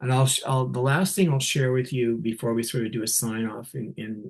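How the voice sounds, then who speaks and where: A somewhat breathy, medium-pitched man's voice with a Canadian accent. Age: 60s. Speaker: nurse leader giving a keynote. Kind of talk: keynote talk. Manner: animated.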